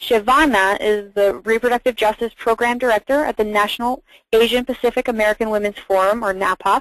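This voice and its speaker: A woman's fairly high, normal speaking voice in a dry, close sound with no echo. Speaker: webinar facilitator, legal fellow. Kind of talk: webinar moderation. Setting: webinar call.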